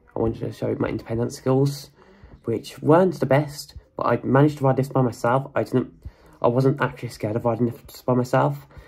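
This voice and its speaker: A man's medium-pitched voice with vocal fry, a fairly quick pace and fairly even intonation. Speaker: lift enthusiast youtuber. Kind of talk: channel anniversary monologue. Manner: halting, with frequent repetitions.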